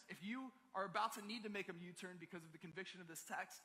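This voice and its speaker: A man with an American accent talks very fast in a raised, projected voice. His tone is bright and sharp, pitched high. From Maryland, US. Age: 20s. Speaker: pastor. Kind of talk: sermon. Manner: casual, conversational.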